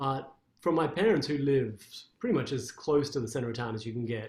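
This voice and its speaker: A man talks with an Australian accent. His voice is somewhat breathy, with ordinary pitch variation. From Australia, Canberra. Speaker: classical guitarist. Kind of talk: interview.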